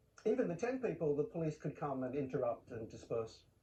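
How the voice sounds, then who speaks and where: A man with an Australian accent talks at a moderate pace in a fairly high, somewhat breathy voice with a dark, mellow tone. His pitch swings very widely. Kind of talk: TV news interview.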